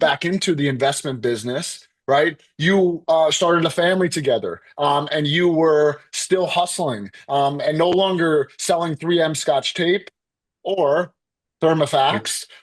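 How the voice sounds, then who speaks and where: At a fairly slow pace, a man with a fairly high pitch uses an ordinary speaking voice with ordinary pitch variation. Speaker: podcast host. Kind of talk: podcast interview questions.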